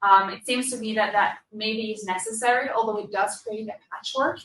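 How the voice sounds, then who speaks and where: Speaking at a moderate pace, a woman uses a bright, sharp tone at a fairly high pitch with ordinary pitch variation. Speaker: session moderator and researcher. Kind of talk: panel discussion moderation. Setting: conference room without microphones. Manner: loud. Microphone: no microphone, speaking to room.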